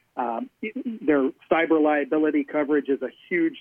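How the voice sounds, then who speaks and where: With a plain, everyday voice, the man speaks at a fairly high pitch and keeps his intonation fairly even. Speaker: insurance business owner. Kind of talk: radio interview.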